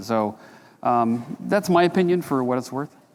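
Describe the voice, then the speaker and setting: This man has an unremarkable speaking voice at a medium pitch. He talks at a moderate pace with lively intonation. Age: 60s. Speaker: precious metals analyst. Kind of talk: conference Q&A. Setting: stage with audience. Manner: casual, conversational.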